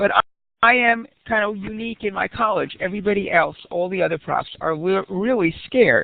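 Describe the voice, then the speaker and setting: A plain, everyday voice from a woman, medium in pitch, at a moderate pace. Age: 60s. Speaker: community college professor. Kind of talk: audience question. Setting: online webinar.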